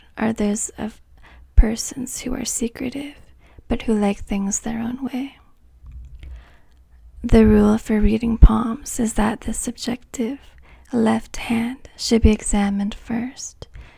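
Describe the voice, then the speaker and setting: A soft-spoken woman with a dark, mellow tone talks in a fairly high pitch and a monotone, flat intonation at a fairly slow pace. Her loudness swings widely, and she leaves long, frequent pauses. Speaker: palm reader. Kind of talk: ASMR palmistry lesson.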